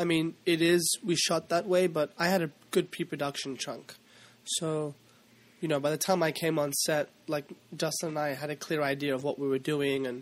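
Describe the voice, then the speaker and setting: Talking at a fairly quick pace, a man uses a fairly high pitch with monotone, flat intonation. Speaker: actor. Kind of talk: casual chat. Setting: studio.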